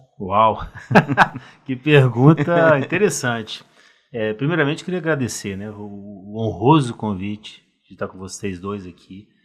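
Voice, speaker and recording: This man has a normal speaking voice at a medium pitch, with lively intonation and big swings in loudness. He talks at a fairly slow pace. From Brazil, Rio de Janeiro. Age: 50s. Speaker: cardiologist. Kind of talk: podcast interview.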